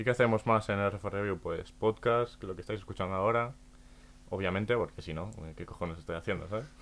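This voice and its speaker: A plain, everyday voice with fairly even intonation at a fairly quick pace. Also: man, fairly low pitch for a man. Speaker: podcast host. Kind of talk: casual chat.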